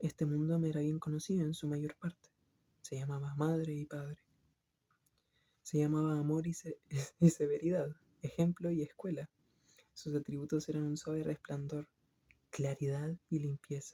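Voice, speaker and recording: The voice is soft-spoken and calm in tone. Long pauses come frequently. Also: moderate pace. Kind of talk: literary book reading. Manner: soft-spoken, calm.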